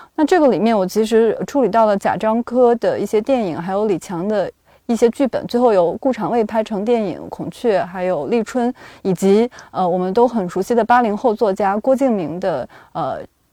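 The voice has a dark, mellow tone and ordinary pitch variation at a moderate pace. The sound is dry and close with no echo, against a quiet background. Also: woman, fairly high pitch for a woman. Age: 20s. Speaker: podcast co-host and culture journalist. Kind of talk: podcast discussion.

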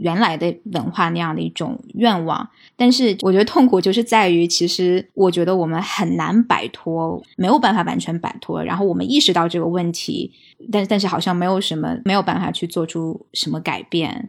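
A woman with vocal fry speaks at a moderate pace, her fairly low pitch moving with ordinary variation. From mainland China. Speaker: podcast guest. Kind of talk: casual chat.

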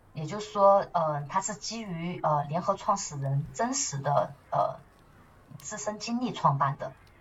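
A woman with a fairly low pitch talks at a fairly slow pace, her intonation lively and her loudness swinging widely. Noticeable background noise is present. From Chongqing, southwest China. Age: 30s. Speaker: marketing manager and nonprofit co-founder. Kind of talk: interview conversation. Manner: animated; hesitant fillers.

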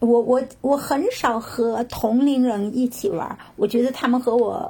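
Against noticeable background noise, a woman with a high pitch talks at a fairly slow pace with ordinary pitch variation. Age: 50s. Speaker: retiree and yoga practitioner. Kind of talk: casual interview.

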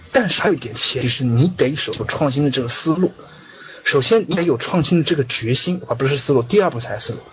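Speaking at a very fast pace, a man uses a fairly high pitch and lively intonation. Noticeable background noise runs underneath. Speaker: online business course lecturer. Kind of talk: online lecture. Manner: repetitive. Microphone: connection lagging.

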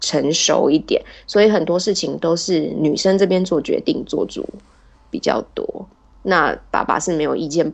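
A woman's fairly low, a normal speaking voice, at a moderate pace with ordinary pitch variation. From Taiwan. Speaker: podcast guest, wife of a Turkish man. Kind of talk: casual interview chat.

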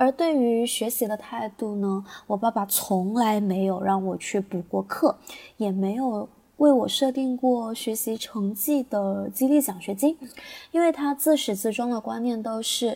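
A woman talks at a fairly slow pace, her voice somewhat breathy with a dark, mellow tone. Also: fairly high pitch for a woman, ordinary pitch variation. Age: 20s. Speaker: teacher. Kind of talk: prepared personal reflection.

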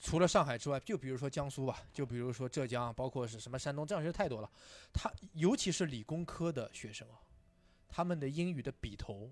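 A normal speaking voice with lively intonation, a fairly quick pace and big swings in loudness. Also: man. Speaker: English teacher and stand-up comedian. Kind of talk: casual chat.

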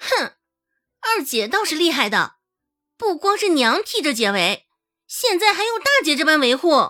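A female-sounding put-on character voice, shrill and extremely high, swings very widely in pitch at a moderate pace with long, frequent pauses. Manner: snide, sarcastic.

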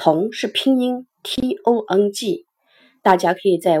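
A woman's voice sits at a medium pitch, with a dark, mellow tone. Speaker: supply chain management educator. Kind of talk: lecture. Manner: slow.

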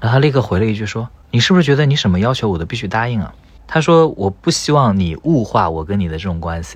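A man of medium pitch talks at a very fast pace, his pitch swinging very widely. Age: 30s. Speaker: tech company employee, podcast guest. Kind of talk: casual chat.

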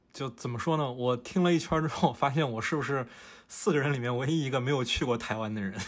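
A man at medium pitch talks at a very fast pace with ordinary pitch variation. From Fujian, China. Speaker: podcast host and photographer. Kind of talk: casual chat.

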